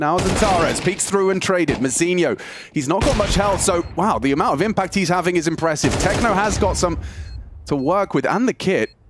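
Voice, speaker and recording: A high-pitched man's voice with lively intonation at a fairly quick pace, over noticeable background noise. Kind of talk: esports commentary.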